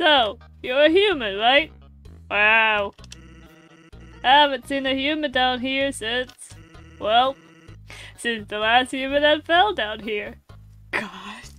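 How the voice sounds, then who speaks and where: A woman's put-on character voice, high-pitched, at a fairly slow pace with long, frequent pauses and faint music in the background. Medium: game stream. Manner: laid-back, drawling.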